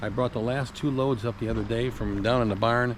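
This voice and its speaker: With an unremarkable speaking voice, a man talks at a medium pitch and a fairly quick pace, keeping his intonation fairly even. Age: 60s. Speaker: classic car collector and mechanic vlogger. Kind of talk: casual vlog talk to camera. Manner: rambling, filler-heavy (uh, um).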